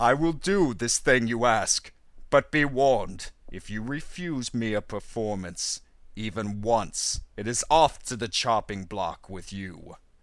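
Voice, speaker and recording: Using a put-on character voice, a man at a medium pitch speaks with lively intonation and big swings in loudness, on a very clean recording with a silent background. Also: fairly slow pace. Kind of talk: read fable audiobook. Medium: read story. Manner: overacted, imperious.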